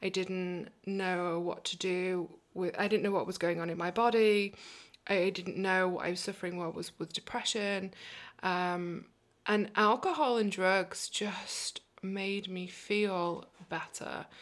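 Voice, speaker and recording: A woman with a British accent talks at a fairly slow pace, her medium-pitched voice monotone and flat, captured on a very clean recording with a silent background. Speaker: recovery advocate and coach. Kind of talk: casual interview, telling her life story.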